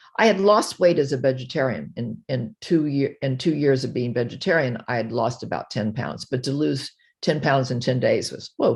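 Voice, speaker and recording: A lively, up-and-down delivery at a moderate pace, with hardly any pauses and a quiet background. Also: woman, very deep, low pitch for a woman. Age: 80s+. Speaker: retired behavioral psychologist, diet success story. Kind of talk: interview testimony. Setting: video call. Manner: halting.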